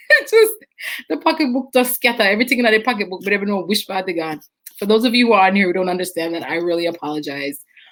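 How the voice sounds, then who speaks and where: A woman with a Jamaican accent, medium in pitch, at a very fast pace. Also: lively intonation. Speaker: nutritionist and wellness show host. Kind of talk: live stream chat reading viewer comments. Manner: playful.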